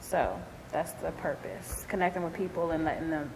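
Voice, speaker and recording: A woman with a Philadelphia accent at a moderate pace, amid noticeable background noise and audible room echo. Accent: Philadelphia American English. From US, Philadelphia. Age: 30s. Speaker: entrepreneur, dance company owner. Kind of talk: interview testimony.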